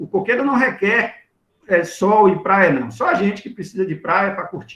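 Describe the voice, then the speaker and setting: A man speaks at a moderate pace with a high pitch and ordinary pitch variation. His loudness swings in big ways. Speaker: agronomist giving a talk. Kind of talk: lecture Q&A.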